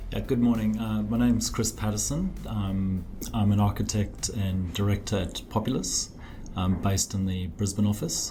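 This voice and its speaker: Speaking with a slight South African accent, a man with a fairly low pitch and a dark, mellow tone sounds somewhat breathy, keeping fairly even intonation at a moderate pace amid audible room echo. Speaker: architect. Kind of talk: podcast interview. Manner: hesitant, many fillers.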